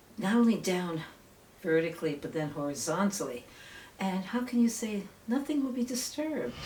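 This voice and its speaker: Long, frequent pauses and very wide pitch swings over noticeable background noise. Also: woman, medium pitch for a woman, moderate pace. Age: 60s. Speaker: local activist, amateur documentarian. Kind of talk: documentary interview; casual chat.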